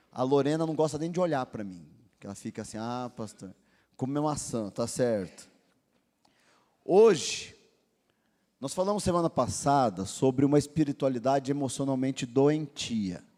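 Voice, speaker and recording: On a very clean recording with a silent background, a man with a fairly high pitch and a dark, mellow tone speaks at a moderate pace with lively intonation, big swings in loudness, and long, frequent pauses. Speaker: pastor. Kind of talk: sermon.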